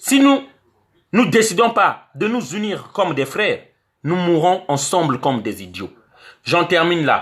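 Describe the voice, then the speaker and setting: A man talks at a fairly slow pace with long, frequent pauses and a high pitch. His tone is animated, and his pitch swings very widely. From Congo. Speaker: online activist vlogger. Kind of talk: video monologue.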